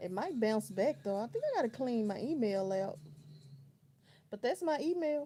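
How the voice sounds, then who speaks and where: In an American accent, a woman with a relaxed tone and fairly high pitch speaks at a moderate pace, her pitch swinging very widely between long, frequent pauses. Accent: country, strong. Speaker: livestreamer. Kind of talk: casual chat. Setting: home bedroom livestream. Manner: relaxed, conversational.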